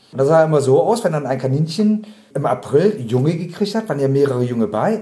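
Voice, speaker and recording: A man talking very fast with very wide pitch swings. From Bremen, northern Germany. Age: 50s. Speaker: animal rights activist, trained butcher. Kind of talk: interview.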